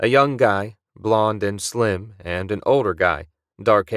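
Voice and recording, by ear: The background stays quiet while the words are read aloud in a natural voice, its pitch varying in an ordinary way.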